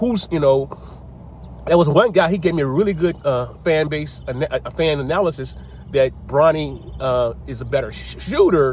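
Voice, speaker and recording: A man speaks in an animated tone over noticeable background noise. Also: moderate pace. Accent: American. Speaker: sports commentator. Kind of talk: casual monologue. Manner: animated, halting with repetitions.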